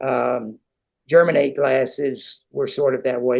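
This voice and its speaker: In a quiet background, a man of medium pitch speaks with monotone, flat intonation. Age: 80s+. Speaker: retired glass science professor. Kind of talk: interview. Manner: halting, searching for words.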